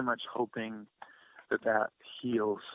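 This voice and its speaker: A quiet man's voice at medium pitch. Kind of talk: interview answer. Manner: quiet, hesitant.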